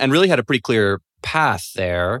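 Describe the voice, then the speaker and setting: A man with an American accent speaks at a moderate pace in a fairly low voice with a bright, sharp tone. The recording is very clean, with a silent background. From London, England. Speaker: tech newsletter writer. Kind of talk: casual interview chat.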